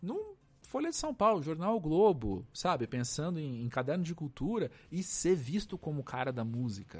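A man speaks fairly slowly on a very clean recording, the background silent. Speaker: cultural journalist and podcaster. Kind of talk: casual chat. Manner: halting.

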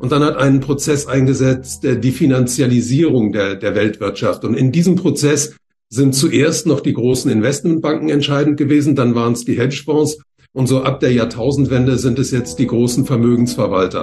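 A man's somewhat breathy, dark and mellow voice at medium pitch, moderate pace and ordinary pitch variation. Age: 70s. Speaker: economist and author. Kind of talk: interview. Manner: hesitant, frequent fillers.

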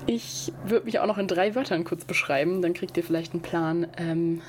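Speech moves at a moderate pace with ordinary pitch variation. Noticeable background noise runs underneath. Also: woman. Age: 20s. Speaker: student podcaster. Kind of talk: podcast trailer monologue.

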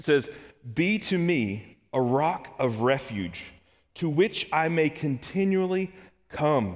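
A man with a Kentucky accent speaks at a very slow pace. His fairly high voice has lively intonation. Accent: Kentucky Southern US. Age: 30s. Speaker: church elder, lay preacher. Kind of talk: sermon. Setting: church service. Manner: halting, repeats words.

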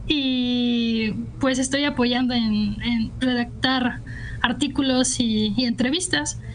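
A woman's high voice at a very slow pace and very even loudness, with audible room echo and noticeable background noise. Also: fairly even intonation. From Guadalajara, Jalisco, Mexico. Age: 20s. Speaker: poet. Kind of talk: radio interview.

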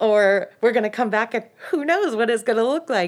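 A woman with a normal speaking voice and an American accent, fairly high pitch, lively intonation and a moderate pace, in a very clean recording with a silent background. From US, mostly Northern California. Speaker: middle school humanities teacher. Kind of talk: casual interview chat. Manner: laughs often.

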